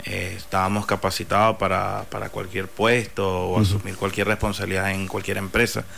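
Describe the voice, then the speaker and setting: His intonation is monotone and flat. The man's pitch sits fairly low. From Venezuela (Barinas). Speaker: food entrepreneur. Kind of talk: interview.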